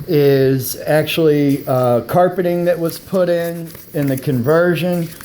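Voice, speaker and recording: A man at a fairly high pitch and very slow pace, fairly even in intonation, amid noticeable background noise and audible room echo. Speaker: private seller reviewing his van. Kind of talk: casual vehicle walkthrough video. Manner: hesitant with many fillers.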